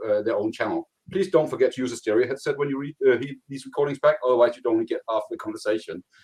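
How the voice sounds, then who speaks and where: The speaker talks at a very fast pace with a Danish accent. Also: man. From Denmark. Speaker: cloud contact center consultant. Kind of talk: technical presentation.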